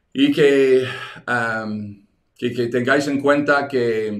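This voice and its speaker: A man of medium pitch speaks at a very slow pace with audible room echo. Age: 60s. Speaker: evangelism teacher. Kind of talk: online teaching webinar. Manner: halting, many repetitions.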